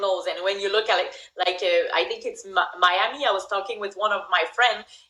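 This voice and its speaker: The speaker is a woman with a strong French accent. She uses a medium pitch with ordinary pitch variation. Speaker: MMA fighter. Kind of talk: podcast interview answer.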